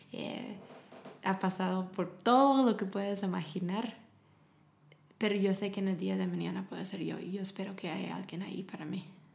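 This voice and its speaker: With vocal fry and fairly even intonation, a woman speaks with long, frequent pauses. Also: medium pitch for a woman, moderate pace. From US South, Tennessee. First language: English (speaking Spanish). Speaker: charity founder working with women. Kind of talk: interview.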